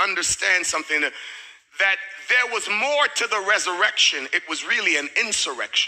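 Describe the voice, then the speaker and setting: Noticeable background noise accompanies a man with a high pitch who talks at a fairly quick pace with ordinary pitch variation. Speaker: senior pastor. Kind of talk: church sermon delivered as spoken word. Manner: preaching, rhythmic, emphatic.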